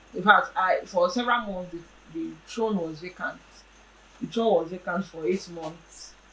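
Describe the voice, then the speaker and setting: With noticeable background noise behind her, a woman speaks at a fairly low pitch. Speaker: traditional regent. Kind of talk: interview answer.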